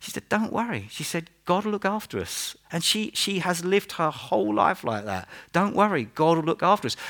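A man with an East Anglian accent speaks at a high pitch with very wide pitch swings. His pace is moderate, with hardly any pauses. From Norfolk, England. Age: 50s. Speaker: pastor. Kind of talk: sermon. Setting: church.

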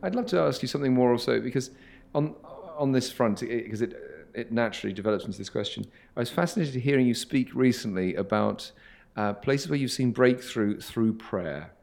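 This man has a plain, everyday voice, pitched in the medium range, and his intonation is lively. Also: fairly quick pace. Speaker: interviewer, host. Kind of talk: interview conversation.

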